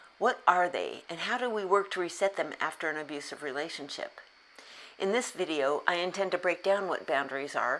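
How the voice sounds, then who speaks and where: Speaking at a fairly quick pace, a woman uses a plain, everyday voice, fairly low in pitch, with ordinary pitch variation. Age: 60s. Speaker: self-help YouTuber on abuse recovery. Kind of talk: scripted talk to camera.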